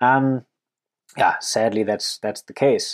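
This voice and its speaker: A man with a German accent speaks at a moderate pace, the sound dry and close with no echo on a very clean recording with a silent background. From Germany. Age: 30s. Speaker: wildlife conservationist. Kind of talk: podcast Q&A monologue.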